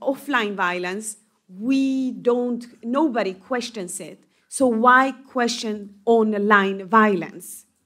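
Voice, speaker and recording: With ordinary pitch variation, a woman speaks at a very slow pace in a fairly high pitch. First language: not English. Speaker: member of European Parliament. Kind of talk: panel discussion. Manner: halting, many fillers.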